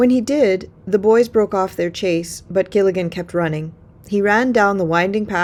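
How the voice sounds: The pitch shifts in an ordinary way as a natural reading voice goes on.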